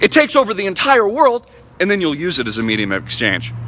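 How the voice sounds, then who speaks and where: High-pitched male speech with very wide pitch swings over noticeable background noise. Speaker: crypto enthusiast vlogger. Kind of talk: impassioned rant to camera. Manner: fast; animated.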